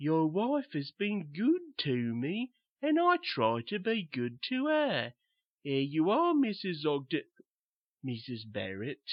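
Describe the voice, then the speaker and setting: A man does a put-on character voice with fairly high pitch and very wide pitch swings, at a fairly slow pace. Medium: read story. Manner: slow, simple, repetitive.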